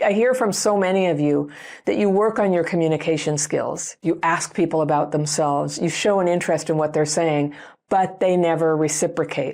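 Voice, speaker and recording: In a Northern California accent, a woman talks at a fairly quick pace with an animated tone over a quiet background. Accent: Northern California (East Bay). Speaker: YouTube psychology educator. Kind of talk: talking-head video monologue. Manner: fast.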